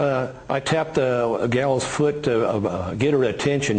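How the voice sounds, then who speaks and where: There is noticeable background noise. A man speaks at medium pitch with fairly even intonation. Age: 60s. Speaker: rancher. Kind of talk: interview. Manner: halting.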